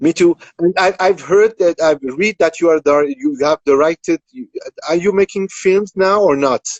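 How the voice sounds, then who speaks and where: The speaker has a French accent. Pitch variation is ordinary. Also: man, high pitch for a man, moderate pace. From France. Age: 50s. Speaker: composer. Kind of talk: interview. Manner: halting.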